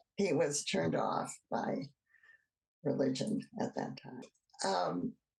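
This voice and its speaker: Very slowly, a woman with an American accent speaks in a very deep, low pitch with vocal fry and very wide pitch swings. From US Midwest, Cleveland, Ohio. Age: 80s+. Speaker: oral history interviewee. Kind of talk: oral history interview. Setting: video call.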